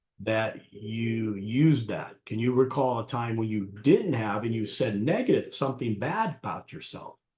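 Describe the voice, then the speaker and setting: A man at medium pitch, somewhat breathy, at a moderate pace with ordinary pitch variation. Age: 60s. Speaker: martial arts coach and life coach. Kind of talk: interview conversation.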